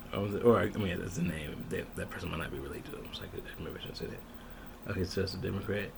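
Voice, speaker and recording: Soft-spoken, a man talks with an American accent and ordinary pitch variation. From Michigan, USA. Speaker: ASMR creator. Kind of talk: ASMR reading of a ballot, casual talk to camera.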